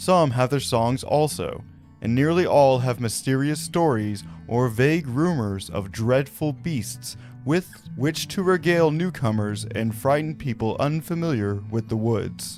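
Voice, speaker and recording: Music plays in the background as a man speaks at a fairly slow pace. His pitch is medium and his intonation lively. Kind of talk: reading a quotation.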